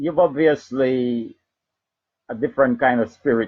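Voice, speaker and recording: A man's dark, mellow voice at a very slow pace, with ordinary pitch variation. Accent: Jamaican. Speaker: internet radio host. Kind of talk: live talk radio. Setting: live radio broadcast streamed on Facebook.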